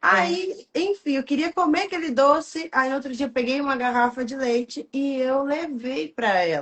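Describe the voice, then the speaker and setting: A woman's high voice at a moderate pace, with hardly any pauses and very wide pitch swings. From rural interior of São Paulo state, Brazil. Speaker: entrepreneur and coach. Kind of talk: interview. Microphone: far from the mic, sounds quiet.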